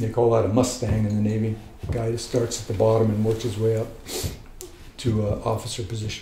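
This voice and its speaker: In a room with audible echo, a man with a medium-pitched, monotone, flat delivery talks at a fairly quick pace, broken by long, frequent pauses. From US South, military family moving around. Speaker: flamenco guitarist. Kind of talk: biographical interview. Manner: relaxed, reflective with fillers.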